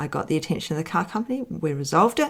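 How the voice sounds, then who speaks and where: Lively intonation marks a woman's voice in a very clean recording with a silent background. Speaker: business mentor podcast host. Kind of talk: solo podcast talk. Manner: fast.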